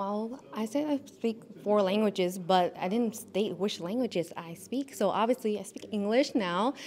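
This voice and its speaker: Hardly any pauses break the moderate pace, and the pitch variation is ordinary. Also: woman, fairly high pitch for a woman. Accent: Vietnamese. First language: Vietnamese. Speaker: pageant contestant, Air Force member. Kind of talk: interview.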